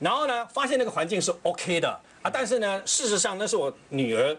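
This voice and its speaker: A man talks at a fairly quick pace. His pitch moves in very wide swings. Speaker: TV talk show panelist. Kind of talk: TV panel discussion. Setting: studio. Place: studio. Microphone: lapel.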